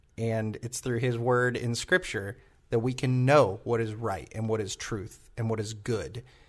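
A somewhat breathy man's voice at medium pitch, with fairly even intonation, against a quiet background. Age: 20s. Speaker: church podcast host. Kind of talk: casual chat; sermon.

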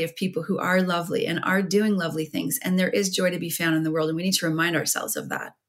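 A woman's fairly low, somewhat breathy voice with a Canadian accent, ordinary pitch variation and a very fast pace. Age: 50s. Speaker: writer and former radio broadcaster. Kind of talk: interview about grief and overdose crisis.

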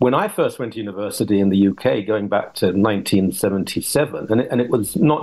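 A man with a British accent and a dark, mellow tone. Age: 60s. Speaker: reverend and radio contributor. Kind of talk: radio panel discussion.

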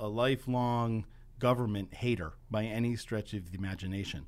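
Using an ordinary speaking voice, a man with an American accent talks at a moderate pace and medium pitch. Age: 50s. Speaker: advocacy group founder. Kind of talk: radio interview. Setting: radio studio.

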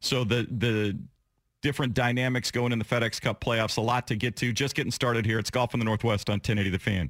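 A man with a plain, everyday voice talks at a fairly quick pace, medium pitch and fairly even intonation. His loudness stays very even on a very clean recording with a silent background. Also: dry, close sound with no echo. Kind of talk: live radio sponsor tag read, short brisk ad-style plug between segments.

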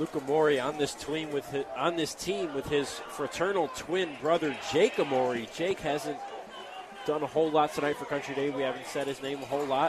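Excited, fairly high male voice at a fairly quick pace, with noticeable background noise. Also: ordinary pitch variation. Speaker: play-by-play sports announcer. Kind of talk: live high school football play-by-play commentary. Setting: stadium broadcast booth. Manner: excited, run-on narration of a touchdown run.

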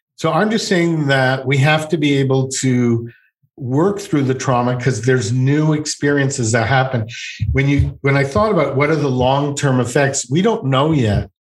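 With a Canadian accent, a man speaks at a medium pitch in a somewhat breathy voice with lively intonation. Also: very even loudness. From Montreal, Quebec. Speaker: psychotherapist. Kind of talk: interview. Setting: video call.

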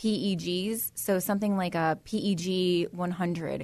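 At a medium pitch, a woman talks with fairly even intonation in an unremarkable speaking voice. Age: 30s. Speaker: hair salon owner. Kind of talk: interview.

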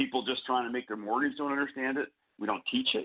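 In a plain, everyday voice, a man holds a mid-level pitch and a fairly even tone throughout. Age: 40s. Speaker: author. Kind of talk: radio interview.

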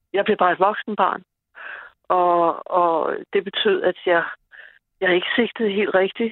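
A woman at a very slow pace, with long, frequent pauses and very even loudness. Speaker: caller. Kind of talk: casual chat. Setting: phone call.

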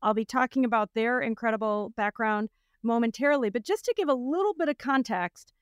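A woman with an unremarkable speaking voice talks at a fairly quick pace in a fairly high pitch with ordinary variation. The recording is very clean with a silent background, and the sound is dry and close with no echo. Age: 50s. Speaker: podcast host and company founder. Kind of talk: casual interview chat.

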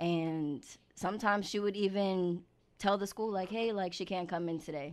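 A woman with a New York accent at a moderate pace, ordinary pitch variation, and a very clean recording with a silent background. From New York (Queens, Long Island). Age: 20s. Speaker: singer and social media creator. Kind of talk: casual interview. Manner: laughs often.

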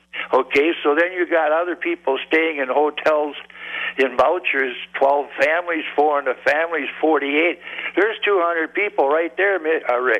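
Over noticeable background noise, a man with a fairly high voice speaks at a fairly slow pace and very even loudness. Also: fairly even intonation. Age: 70s. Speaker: regular caller. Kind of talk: call-in talk radio. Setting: phone call.

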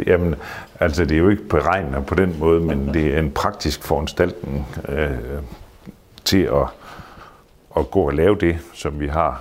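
Over noticeable background noise, a man with a very deep, low pitch talks at a fairly slow pace with fairly even intonation and long, frequent pauses. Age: 60s. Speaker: theatre manager and artist manager. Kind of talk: casual interview. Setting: hotel. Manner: halting.

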